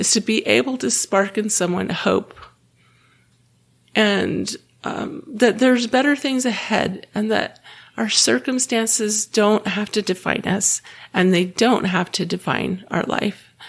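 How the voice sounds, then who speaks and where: A woman with a fairly high pitch speaks with lively intonation and vocal fry. The recording is very clean, with a silent background. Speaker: podcast host. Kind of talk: podcast monologue. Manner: some filler words and repetitions.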